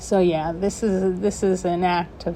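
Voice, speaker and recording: A woman's voice carries a dark, mellow tone and flat, monotone intonation. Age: 40s. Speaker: video blogger living with Parkinson's. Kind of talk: personal reflection to camera. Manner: halting, with pauses and breaths.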